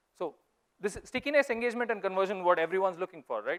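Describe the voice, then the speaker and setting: Lively and very fast, a man with a high voice talks in a Goan accent. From India, Mangalore. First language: Konkani. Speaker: investor. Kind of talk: conference talk. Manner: animated.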